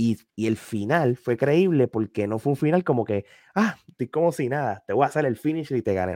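On a very clean recording with a silent background and a dry, close sound with no echo, a man of medium pitch speaks at a moderate pace in a dark, mellow tone with very wide pitch swings. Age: 40s. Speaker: wrestling media commentator. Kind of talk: casual chat. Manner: halting, repeats words.

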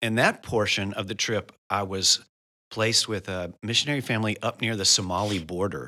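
Bright and sharp in tone, a man with an American accent talks at a fairly quick pace and fairly low pitch. His pitch variation is ordinary, and the recording is very clean with a silent background. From US South, Memphis, Tennessee. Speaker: missionary church planter. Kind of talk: interview conversation.

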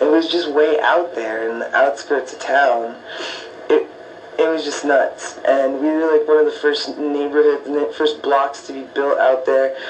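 Noticeable background noise and audible room echo accompany a man speaking fairly slowly with an American accent. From US Southwest, Tucson, Arizona. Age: 30s. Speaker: podcast host. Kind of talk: casual personal monologue. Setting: home living room. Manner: relaxed, filler-heavy.

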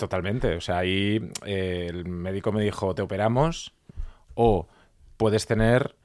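Recorded very cleanly against a silent background, a man speaks at a moderate pace with a fairly low pitch and ordinary pitch variation. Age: 40s. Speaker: journalist and podcaster. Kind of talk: interview. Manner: halting.

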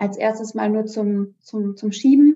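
The pitch of this woman's voice is fairly high. She speaks at a fairly slow pace. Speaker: amateur cyclist and mother. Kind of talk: casual chat.

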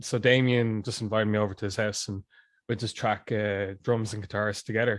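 In a Dublin accent, a man speaks with monotone, flat intonation on a very clean recording with a silent background. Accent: Irish, Dublin. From Dublin, Ireland (Glasnevin). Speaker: musician. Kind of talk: casual chat.

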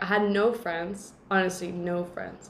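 Noticeable background noise sits behind a woman talking at a moderate pace with fairly even intonation. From Mexico, San Luis Potosí. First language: Spanish. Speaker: podcast host. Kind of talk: casual chat.

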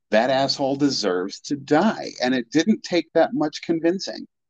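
Over a quiet background, a man with a fairly high voice and vocal fry speaks at a moderate pace with very wide pitch swings, the sound dry and close with no echo. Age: 40s. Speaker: podcast guest, horror fan. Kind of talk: casual chat.

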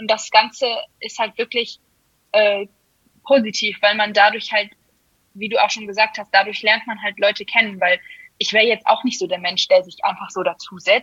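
The speech moves at a moderate pace with flat, monotone intonation and long, frequent pauses. The sound is dry and close, without echo. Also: woman, fairly high pitch for a woman. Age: 20s. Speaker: amateur guard dancer. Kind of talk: casual interview. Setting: podcast.

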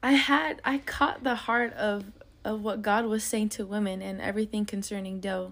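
A woman talks at a moderate pace in an ordinary speaking voice. Her pitch is fairly high, with ordinary pitch variation. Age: 20s. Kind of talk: casual faith chat.

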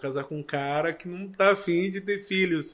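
Over a very clean recording with a silent background, a man talks at a fairly quick pace. He has an unremarkable speaking voice with ordinary pitch variation. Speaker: missionary and adoptive father. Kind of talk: testimony.

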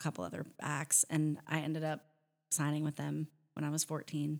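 A woman speaks in a very deep, low voice with flat, monotone intonation. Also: very clean recording, silent background. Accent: American. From US Pacific Northwest, near Seattle. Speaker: country singer. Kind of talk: casual chat.

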